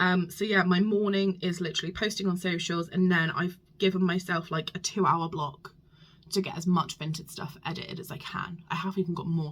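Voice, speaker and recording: Vocal fry runs through a woman's fairly low voice. She talks at a fairly quick pace with fairly even intonation. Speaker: small business vlogger. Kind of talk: casual vlog. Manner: hesitant with many ums.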